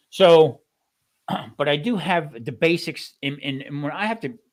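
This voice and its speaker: A man is talking. Lively intonation runs through his speech. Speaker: home cooking channel host, former restaurant cook. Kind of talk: casual chat. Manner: fast.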